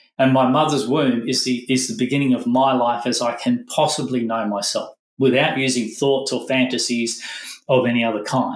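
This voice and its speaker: A man talking at a fairly quick pace, with audible echo from the room. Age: 60s. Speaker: former monk, meditation teacher. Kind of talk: podcast interview. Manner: halting, self-correcting.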